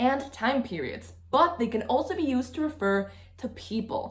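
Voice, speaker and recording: A woman talks at a fairly slow pace, her pitch swinging very widely. Background noise is noticeable. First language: Spanish. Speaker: language teacher. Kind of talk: tutorial.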